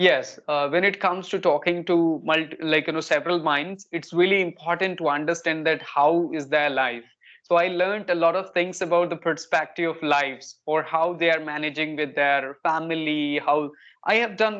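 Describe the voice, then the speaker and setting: A north Indian accent against a quiet background. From India, Kanpur, Uttar Pradesh. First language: Hindi. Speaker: English learner, spoken English tutor. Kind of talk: casual conversation practice.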